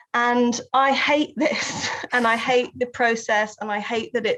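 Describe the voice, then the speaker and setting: A woman speaks with a Southern English accent and ordinary pitch variation. The background is quiet. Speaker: writer and researcher. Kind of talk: interview.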